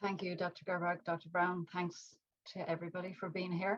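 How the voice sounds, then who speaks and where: In an Irish accent, a woman speaks at a fairly quick pace with a fairly low pitch and monotone, flat intonation. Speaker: mindfulness teacher and artist. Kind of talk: talk to an online audience.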